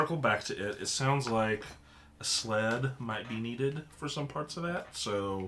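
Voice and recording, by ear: The speaker reads aloud in a natural voice.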